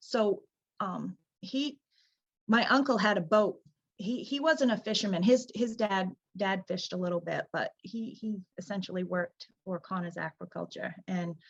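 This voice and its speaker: Somewhat breathy, a woman speaks at a medium pitch and moderate pace with ordinary pitch variation, the sound dry and close with no echo. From Downeast Maine. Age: 40s. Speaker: lobster boat captain. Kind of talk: interview answer.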